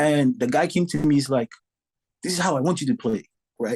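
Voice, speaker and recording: A man with a Saint Lucian accent talks at a very fast pace, his fairly high pitch carrying lively intonation. His tone is dark and mellow, and the background is quiet. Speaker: drummer. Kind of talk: podcast interview. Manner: animated.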